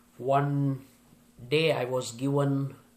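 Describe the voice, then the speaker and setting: This man's voice sits fairly high in pitch and sounds somewhat breathy. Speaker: motivational speaker and corporate trainer. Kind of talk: motivational speech to an audience.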